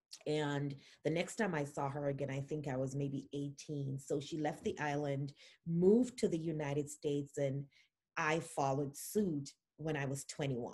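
A woman's very deep, low, somewhat breathy voice with a dark, mellow tone. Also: ordinary pitch variation, moderate pace. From Jamaica. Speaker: immigration attorney. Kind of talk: interview.

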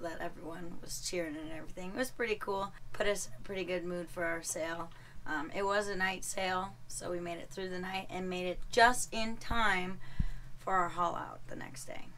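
A woman at a moderate pace, ordinary pitch variation, light background noise. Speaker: sailing vlogger. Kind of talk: casual vlog chat. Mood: relaxed, cheerful. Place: boat. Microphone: phone near.

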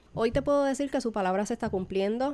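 A woman speaks in a dark, mellow tone on a very clean recording with a silent background. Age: 30s. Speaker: baker and podcast host. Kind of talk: personal testimony.

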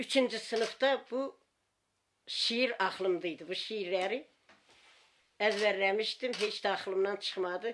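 Long, frequent pauses break up a woman's speech. Her pace is very slow. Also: medium pitch for a woman, ordinary pitch variation. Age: 70s. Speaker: village grandmother. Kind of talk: interview answer.

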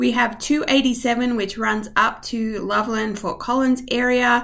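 In quiet surroundings, a woman talks at a very slow pace. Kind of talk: tutorial. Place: home room. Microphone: webcam.

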